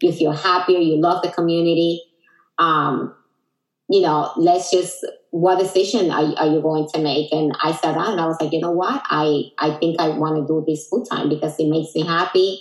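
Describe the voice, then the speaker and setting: Speaking with a Dominican accent, a woman keeps a fairly low pitch and fairly even intonation. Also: moderate pace. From Dominican Republic. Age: 40s. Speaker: Herbalife distributor, entrepreneur. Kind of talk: casual interview chat.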